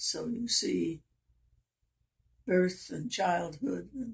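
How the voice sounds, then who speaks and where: Somewhat breathy and at a medium pitch, a woman with an American accent speaks at a very slow pace. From Oklahoma and Kansas, US. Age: 90s. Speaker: grandmother interviewed about her life. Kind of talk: casual family interview, life story. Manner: halting, with pauses and fillers.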